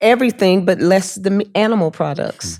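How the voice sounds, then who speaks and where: A woman talks in a dark, mellow tone. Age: 70s. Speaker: vegan chef. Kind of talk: interview answer. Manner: casual, conversational.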